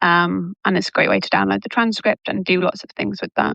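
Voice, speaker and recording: A woman with a British accent at a fairly quick pace. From England, Manchester. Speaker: language coach. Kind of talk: casual interview.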